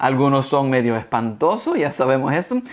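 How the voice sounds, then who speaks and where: A man talks at a fairly high pitch in an animated, playful tone. His intonation is lively. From United States. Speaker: guest speaker teaching about dinosaurs. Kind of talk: educational talk for secondary students.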